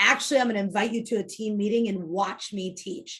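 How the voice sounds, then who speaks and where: Somewhat breathy, this voice keeps up a fairly quick pace. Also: woman. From US Midwest, Illinois south of Chicago. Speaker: real estate team leader. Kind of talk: interview. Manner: fast; direct.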